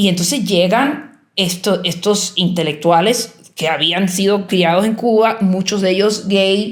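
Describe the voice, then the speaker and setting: At a fairly slow pace with ordinary pitch variation, the speech carries audible room echo. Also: woman. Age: 60s. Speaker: artist and writer. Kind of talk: interview. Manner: halting, many false starts and fillers.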